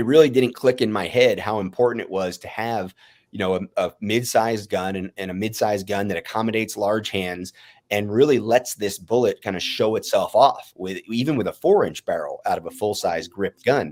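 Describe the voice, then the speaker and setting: Speaking at a fairly quick pace with ordinary pitch variation, a man at medium pitch swings widely in loudness on a very clean recording with a silent background. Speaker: firearms industry guest discussing his company's pistol. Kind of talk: casual live-stream discussion. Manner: fast.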